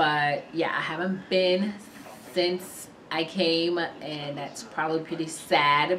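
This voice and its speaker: Through audible room echo and noticeable background noise, a woman talks at a very slow pace, her fairly low pitch held in fairly even intonation. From Sierra Leone until age 7, raised in US. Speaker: vlogger. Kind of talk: casual vlog talk. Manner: casual, frequent fillers.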